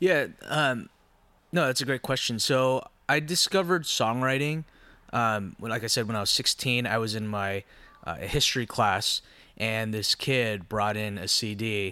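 The recording is very clean, with a silent background. A man with an American accent speaks at a moderate pace in a bright, sharp tone, his intonation lively. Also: medium pitch for a man. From Southern California (Orange County). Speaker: singer-songwriter and producer. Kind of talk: casual interview. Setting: studio.

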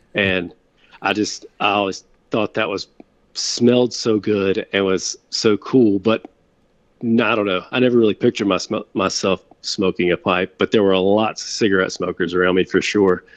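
A normal speaking voice from a man, fairly low in pitch, with fairly even intonation, a moderate pace and a dry, close sound with no echo. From Winston-Salem, North Carolina. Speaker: pastor. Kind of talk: casual interview chat.

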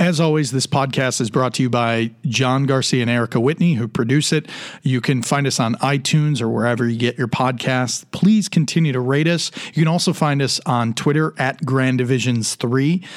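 Using an ordinary speaking voice, a man of medium pitch talks at a moderate pace with ordinary pitch variation and very even loudness. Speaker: podcast host. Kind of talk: casual interview chat.

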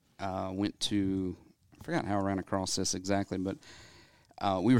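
Very deep, low male voice with a Southern US accent, monotone and flat at a fairly quick pace, on a very clean recording with a silent background. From US South, Athens, Georgia. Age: 40s. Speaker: dentist. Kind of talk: interview.

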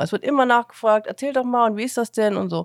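A woman's fairly high voice with ordinary pitch variation, in a dry, close sound with no echo. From Saxony, Chemnitz. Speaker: podcast host, foster parent. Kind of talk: casual chat.

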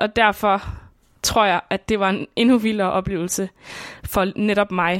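A woman's normal speaking voice, fairly slow with fairly even intonation, in a dry, close sound with no echo on a very clean recording with a silent background. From Denmark, southern Funen (Svendborg). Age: 20s. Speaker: radio documentary maker. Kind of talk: scripted narration.

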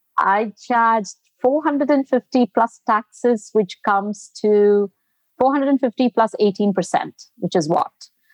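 The voice is heard dry and close, with no echo, and its pitch varies in an ordinary way. Loudness stays very even, and the pace is very slow. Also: woman, fairly high pitch for a woman. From India, Bangalore. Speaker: dermatologist and cosmetic injector. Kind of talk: interview.

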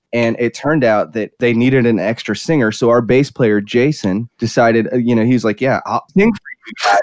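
A plain, everyday voice with an American accent moves at a moderate pace with hardly any pauses and ordinary pitch variation. The sound is dry and close with no echo. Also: man, medium pitch for a man. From South Carolina. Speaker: drummer. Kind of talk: casual chat.

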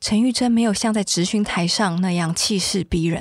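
On a very clean recording with a silent background, a somewhat breathy woman speaks at medium pitch and a moderate pace with ordinary pitch variation. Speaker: podcast host and reporter. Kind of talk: scripted narration.

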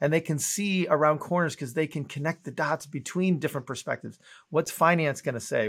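A man's fairly high voice at a very fast pace, on a very clean recording with a silent background. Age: 50s. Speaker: entrepreneur and author. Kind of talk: interview.

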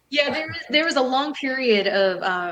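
In a normal speaking voice, a woman with an American accent talks at a moderate pace with lively intonation. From Southern California. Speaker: retired professional wrestler and model. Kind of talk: interview.

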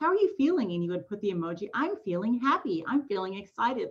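Talking at a very fast pace, a woman with an American accent uses a medium pitch. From Southern California. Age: 30s. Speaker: real estate investor. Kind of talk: interview conversation.

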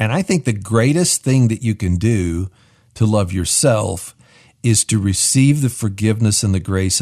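On a very clean recording with a silent background, a man with a dark, mellow tone and a somewhat breathy voice talks at a moderate pace with lively intonation. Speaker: radio co-host. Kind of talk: radio show hosting. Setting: studio.

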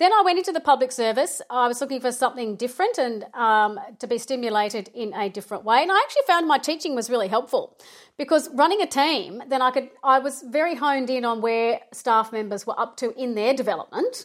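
In a very clean recording with a silent background, a woman with an Australian accent talks at a very fast pace with lively intonation, a high pitch and hardly any pauses. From Melbourne, Australia. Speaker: project management consultant. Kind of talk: interview.

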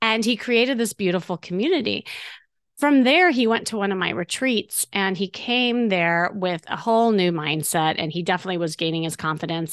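An ordinary speaking voice from a woman with an American accent, medium pitch and lively intonation, in a dry, close sound with no echo against a quiet background. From US Midwest. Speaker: podcast host and dating coach. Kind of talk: casual interview.

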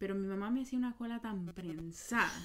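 A woman speaks at a fairly quick pace with medium pitch and ordinary pitch variation. Hers is a plain, everyday voice. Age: 20s. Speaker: podcast host. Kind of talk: casual chat.

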